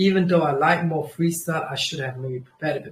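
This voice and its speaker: With a Kurdish accent, a man speaks at a fairly high pitch with ordinary pitch variation. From Germany. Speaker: trading livestreamer. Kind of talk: casual livestream chat. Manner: animated; halting.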